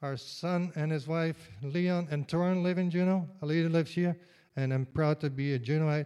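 A man speaks with a fairly high pitch and a dark, mellow tone. His pace is moderate and his intonation fairly even. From Netherlands. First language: Dutch. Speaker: retired state worker, tour bus driver. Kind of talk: live storytelling. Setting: stage with audience.

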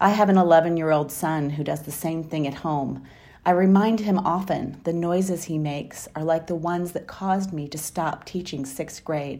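Speaking with an American accent, a woman keeps a moderate pace with hardly any pauses. Her voice has a fairly low pitch, a dark, mellow tone and fairly even intonation. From Wisconsin. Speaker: high school teacher. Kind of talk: personal storytelling. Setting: recorded at home.

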